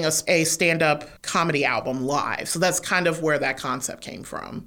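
A woman with an American accent speaks in an unremarkable speaking voice, her pitch fairly low. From Detroit, US Midwest. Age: 30s. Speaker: writer and performer. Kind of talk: interview conversation. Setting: studio.

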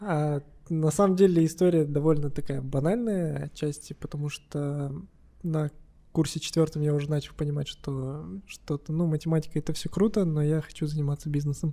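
A man with a fairly high, somewhat breathy voice and a dark, mellow tone speaks at a moderate pace. His intonation stays fairly even on a very clean recording with a silent background. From Kazakhstan, Kostanay. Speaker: business owner, flower shop. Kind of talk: casual chat.

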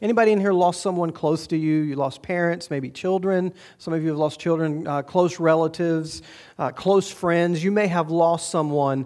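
A man with a high-pitched voice and a dark, mellow tone. The background is quiet. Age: 40s. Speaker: pastor. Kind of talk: sermon. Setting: church with congregation.

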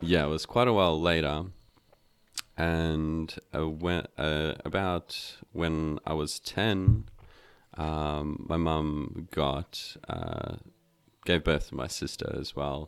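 A very deep, low-pitched man with a South African accent, fairly even intonation and a very slow pace. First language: Afrikaans. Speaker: meditation teacher. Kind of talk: casual interview chat. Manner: hesitant, filler-heavy.

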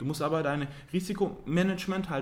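He has a plain, everyday voice and fairly high pitch. His pace is fairly quick, with ordinary pitch variation. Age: 30s. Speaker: civil engineer and property investor. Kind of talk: podcast interview.

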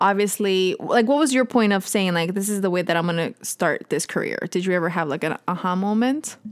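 A woman with an ordinary speaking voice, medium pitch, ordinary pitch variation, a fairly quick pace and hardly any pauses. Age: 20s. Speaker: podcast host and actress. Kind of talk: casual chat.

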